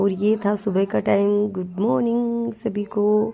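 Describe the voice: A woman speaks slowly in a dark, mellow tone at a medium pitch, with little pitch movement and some vocal fry.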